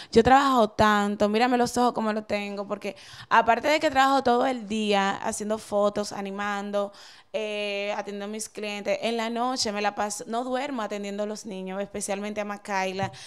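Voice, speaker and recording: Intonation stays fairly even as the words come at a moderate pace. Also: woman, fairly high pitch for a woman. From Dominican Republic. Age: 30s. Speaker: TV presenter and model; TV presenter. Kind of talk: interview. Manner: halting. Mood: earnest, explaining herself. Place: office. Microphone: handheld.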